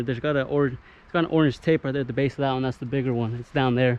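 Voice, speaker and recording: Amid noticeable background noise, a man with a fairly high pitch talks at a very fast pace with fairly even intonation. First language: not English. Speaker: arborist and tree climber. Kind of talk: casual vlog commentary while working. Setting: outdoors, tree work site. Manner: casual, conversational.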